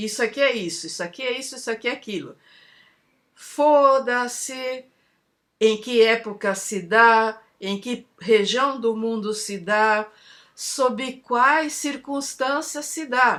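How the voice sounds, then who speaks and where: A high-pitched woman's voice at a very slow pace, with big swings in loudness and ordinary pitch variation. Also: very clean recording, silent background. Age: 60s. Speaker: video essayist. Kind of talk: spoken reflection monologue. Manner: opinionated, informal.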